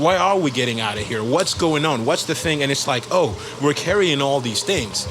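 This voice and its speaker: A man with a fairly high pitch speaks at a moderate pace with lively intonation, over noticeable background noise and audible room echo. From Gabon. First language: French. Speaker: musician. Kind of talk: interview.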